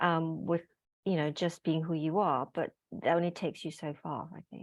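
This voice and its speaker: A woman speaks at a moderate pace with a fairly low pitch and monotone, flat intonation. The sound is dry and close with no echo, over a quiet background. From Malaysia. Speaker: group fitness instructor and author. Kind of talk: casual chat. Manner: melodic.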